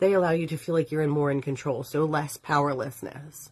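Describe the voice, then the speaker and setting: This woman has a very deep, low pitch. The background is quiet. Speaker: witchcraft teacher and live show host. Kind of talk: live stream talk. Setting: live stream from home. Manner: fast.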